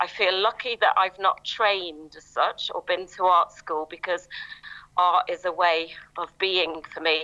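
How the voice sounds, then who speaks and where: Bright and sharp in tone, the voice moves at a fairly slow pace with fairly even intonation. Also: woman, medium pitch for a woman. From northern England. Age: 60s. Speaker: artist. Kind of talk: panel discussion.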